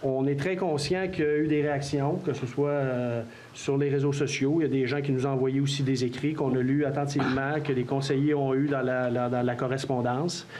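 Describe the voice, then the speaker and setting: A man with a Quebec accent, fairly high pitch, monotone, flat intonation, very even loudness and hardly any pauses, with audible room echo and noticeable background noise. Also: moderate pace. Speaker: mayor chairing council meeting. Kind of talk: public meeting Q&A. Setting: council hall with audience.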